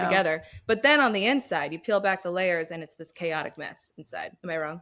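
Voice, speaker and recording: A woman with a fairly low pitch speaks at a fairly quick pace, her intonation lively and her loudness swinging widely. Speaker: podcast co-host. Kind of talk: casual podcast banter. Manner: chatty, humorous, self-deprecating.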